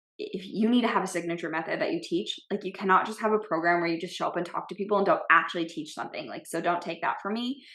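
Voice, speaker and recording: A woman's bright, sharp tone at a very fast pace. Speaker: business coach and podcast host. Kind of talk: solo podcast monologue. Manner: bold, direct.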